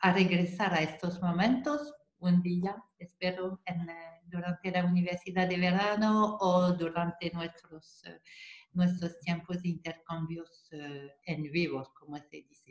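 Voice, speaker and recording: A woman with a French accent and a fairly low pitch, at a very slow pace, with ordinary pitch variation and big swings in loudness. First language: French (speaking Spanish). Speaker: psychomotor therapist. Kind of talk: online seminar talk. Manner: halting, repetitive.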